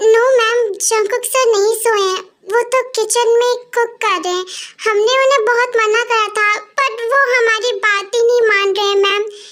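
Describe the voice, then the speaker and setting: A woman uses a put-on character voice at an extremely high pitch, with monotone, flat intonation. Her loudness stays very even at a moderate pace. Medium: read story. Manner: deferential.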